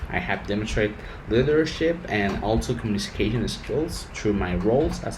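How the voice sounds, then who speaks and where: Lively intonation and a Spanish accent come at a moderate pace, with music in the background and audible room echo. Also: man. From Mexico. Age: 20s. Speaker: engineer. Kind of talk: rehearsed interview answers. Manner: halting.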